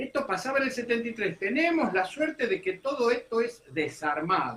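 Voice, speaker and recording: A man with a high pitch projects his raised voice at a moderate pace, sweeping through very wide pitch swings. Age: 70s. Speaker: political commentator. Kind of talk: radio interview. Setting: radio studio. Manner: animated.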